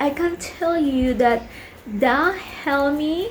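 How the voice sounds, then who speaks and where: Spoken with a Colombian accent, the voice shows ordinary pitch variation. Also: woman. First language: Spanish. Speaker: vlogger. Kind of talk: casual vlog talk. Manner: halting, many fillers.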